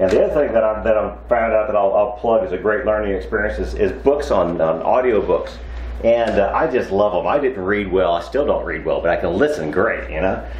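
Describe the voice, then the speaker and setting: Over light background noise and audible room echo, a man talks at a fairly quick pace. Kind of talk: casual vlog chat. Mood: cheerful, relaxed. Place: workshop.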